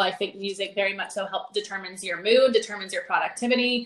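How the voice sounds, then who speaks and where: Pitch varies in an ordinary way in a normal speaking voice. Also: woman. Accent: American. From North Carolina. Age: 20s. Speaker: fitness coach. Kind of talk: casual chat.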